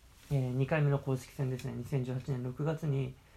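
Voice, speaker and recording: Speaking at a moderate pace, a man has a somewhat breathy, dark and mellow voice at medium pitch with fairly even intonation. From Okayama, western Japan. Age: 20s. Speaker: former overseas volunteer baseball coach, YouTuber. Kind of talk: online presentation. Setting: video call.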